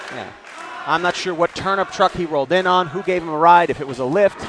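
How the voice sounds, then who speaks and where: Amid noticeable background noise, a man with a high pitch talks at a fairly quick pace with ordinary pitch variation. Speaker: wrestling color commentator. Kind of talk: wrestling color commentary.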